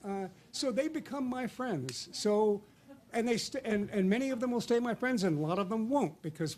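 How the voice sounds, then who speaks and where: The man's tone is dark and mellow. He speaks at a moderate pace with very wide pitch swings. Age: 60s. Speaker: literary critic. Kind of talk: panel discussion. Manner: halting, many fillers and repetitions.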